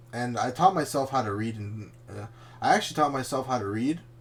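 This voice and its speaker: Somewhat breathy, a man talks at a medium pitch. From Canada, Chilean family. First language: Spanish. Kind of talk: casual chat.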